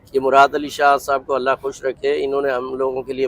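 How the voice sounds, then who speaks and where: There is noticeable background noise behind this voice. A man talks at a medium pitch. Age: 60s. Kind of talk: interview testimony.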